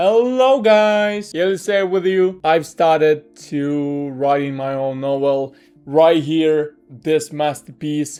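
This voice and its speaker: With music in the background, a man with a fairly high pitch speaks at a very slow pace, hardly pausing at all. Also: ordinary pitch variation. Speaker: amateur novelist, content creator. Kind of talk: casual talk and reading own novel aloud. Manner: casual, halting non-native phrasing.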